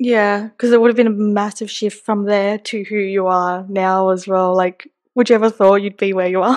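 Speaking with an Australian accent, a woman keeps to a medium pitch and a moderate pace. Her intonation is monotone and flat, with hardly any pauses. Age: 20s. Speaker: podcast host. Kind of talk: casual chat.

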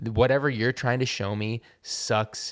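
In a very clean recording with a silent background, a man with an unremarkable speaking voice and medium pitch talks at a moderate pace with fairly even intonation. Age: 30s. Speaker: punk musician. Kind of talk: casual chat. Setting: studio.

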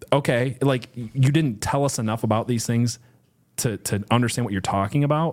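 A man with a plain, everyday voice speaks at medium pitch and a moderate pace, showing ordinary pitch variation. The recording is very clean, with a silent background. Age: 30s. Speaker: podcast co-host. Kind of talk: casual Bible study discussion.

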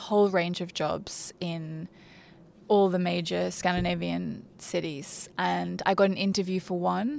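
A woman speaks with an Australian accent at a fairly low pitch and fairly slow pace. The recording is very clean, with a silent background. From Australia, Brisbane. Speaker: fashion PR manager. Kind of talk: interview.

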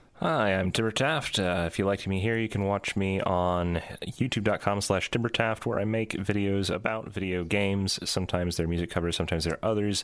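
With an ordinary speaking voice, a man talks fairly quickly at a fairly low pitch, with fairly even intonation and hardly any pauses. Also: very even loudness. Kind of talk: casual chat. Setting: video call.

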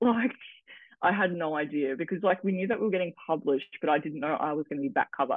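A woman with an Australian accent speaks with ordinary pitch variation. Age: 20s. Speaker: model and social media content creator. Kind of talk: casual interview chat.

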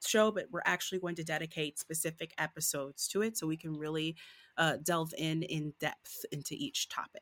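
A plain, everyday voice with an American accent speaks at a moderate pace. The sound is dry and close with no echo, on a very clean recording with a silent background. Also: woman. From Southfield, Michigan (Detroit suburbs). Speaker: actor and podcast co-host. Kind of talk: casual chat.

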